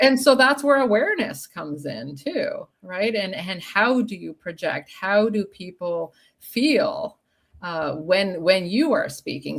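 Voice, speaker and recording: Delivered at a fairly slow pace, the voice swings very widely in pitch. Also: woman. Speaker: sales trainer. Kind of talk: casual interview chat. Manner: deliberately paced.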